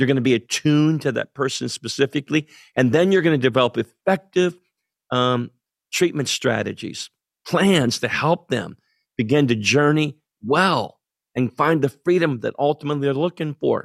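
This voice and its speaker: This is an unremarkable speaking voice with an American accent. It moves at a moderate pace with ordinary pitch variation. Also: man, fairly high pitch for a man, dry, close sound with no echo. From central Pennsylvania. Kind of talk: interview conversation.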